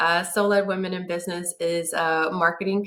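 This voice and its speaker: A woman's bright, sharp voice at a medium pitch, with an American accent and a moderate pace. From United States. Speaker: marketing consultant and business founder. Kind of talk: interview.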